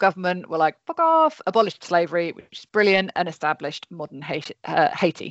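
An unremarkable speaking voice moves at a fairly quick pace. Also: woman. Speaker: podcast host. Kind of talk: casual chat. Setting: video call.

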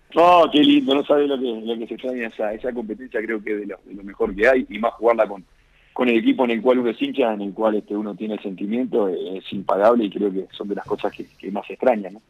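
A man talks at a very fast pace with a medium pitch and ordinary pitch variation. His loudness swings widely. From Uruguay. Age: 30s. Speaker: professional footballer. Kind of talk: interview. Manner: halting.

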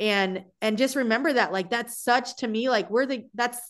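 Against a quiet background, a woman talks at a fairly quick pace. She uses an ordinary speaking voice with ordinary pitch variation. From US South, South Florida. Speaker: softball coach. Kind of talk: casual chat.

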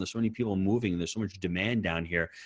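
The recording is very clean, with a silent background and a dry, close sound with no echo, and the speaker's pitch varies in an ordinary way. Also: man. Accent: American. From US Northeast. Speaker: real estate investor and coach. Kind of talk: podcast interview.

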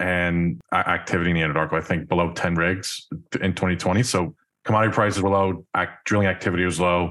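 A man with an American accent speaks at a fairly quick pace with a very deep, low pitch. The recording is very clean, with a silent background. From New York. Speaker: podcast host. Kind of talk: interview.

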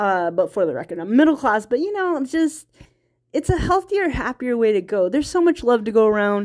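This woman speaks fairly quickly with a high pitch and an American accent. Her pitch swings very widely. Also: very clean recording, silent background. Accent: Virginia country accent, comes out when tired. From US South, small-town Virginia. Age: 30s. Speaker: indie filmmaker and podcaster. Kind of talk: personal monologue podcast. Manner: halting, many fillers and restarts; frequent laughter.

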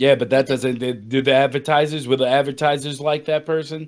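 The recording is very clean, with a silent background. A man with a fairly high pitch and an unremarkable speaking voice talks at a moderate pace. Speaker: podcast co-host. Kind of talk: casual chat.

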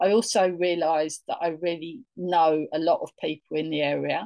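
A woman with a London accent speaks at a fairly low pitch and moderate pace. The sound is dry and close with no echo. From northeast London, England. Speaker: tour guide. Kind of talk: interview.

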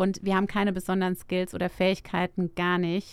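A woman with a medium-pitched voice speaks at a moderate pace in a very clean recording with a silent background. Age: 40s. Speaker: startup founder. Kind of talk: interview. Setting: studio.

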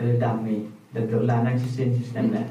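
A man at a medium pitch speaks at a moderate pace amid noticeable background noise and audible room echo. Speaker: podcast host. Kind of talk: casual chat. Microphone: camera audio, poor sound quality.

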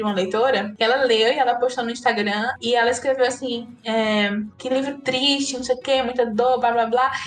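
High-pitched female speech, fairly quick, with ordinary pitch variation and noticeable background noise. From Northeast Brazil, Ceará (Juazeiro do Norte). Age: 30s. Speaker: writer. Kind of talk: interview conversation.

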